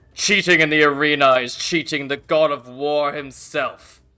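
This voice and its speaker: A fairly high-pitched put-on character voice from a man, at a moderate pace. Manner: authoritative, commanding.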